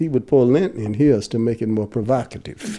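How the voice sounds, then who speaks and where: Using an unremarkable speaking voice, a man talks at a fairly quick pace and a medium pitch. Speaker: former student striker. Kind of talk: interview recollection.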